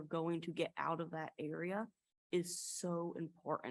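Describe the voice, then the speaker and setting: Speaking at a fairly slow pace, a woman with a slight Appalachian accent has a fairly low pitch. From US South, East Tennessee Appalachia. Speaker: college student panelist. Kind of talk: panel discussion.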